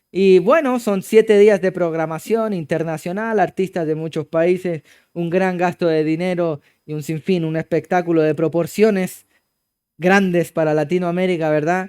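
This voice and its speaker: In a Chilean accent, a man with a high pitch speaks at a moderate pace and with fairly even intonation, on a very clean recording with a silent background and a dry, close sound with no echo. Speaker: pastor. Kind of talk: sermon.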